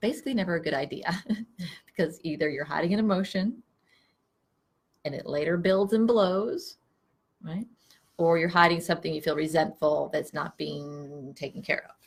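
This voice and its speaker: A woman speaks quietly in a somewhat breathy, fairly low voice, at a moderate pace with long, frequent pauses. Her pitch moves in an ordinary way while her loudness swings widely. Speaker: psychotherapist. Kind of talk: casual chat. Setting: office. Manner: quiet, low talker. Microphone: no microphone.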